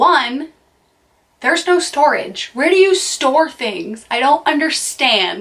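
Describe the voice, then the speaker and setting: A woman with an American accent speaks at a very slow pace with very wide pitch swings. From US, near Boston, Massachusetts. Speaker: vlogger. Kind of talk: casual vlog monologue. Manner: chatty, with frequent fillers.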